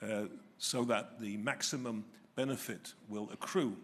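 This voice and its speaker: Fairly slow speech in an English accent, with ordinary pitch variation. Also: man. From England. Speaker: retired family court judge, keynote speaker. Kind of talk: keynote lecture. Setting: hotel hall with live audience. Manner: hesitant, many filler sounds.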